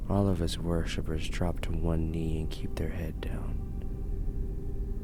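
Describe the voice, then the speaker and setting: A man whispers while music plays in the background. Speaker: horror story narrator. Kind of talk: first-person horror story reading. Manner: dragging at times.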